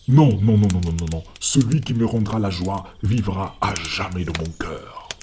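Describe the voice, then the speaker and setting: Using a put-on character voice, a soft-spoken man talks at a fairly low pitch. He keeps ordinary pitch variation and a fairly slow pace. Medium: read story. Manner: faint, murmuring.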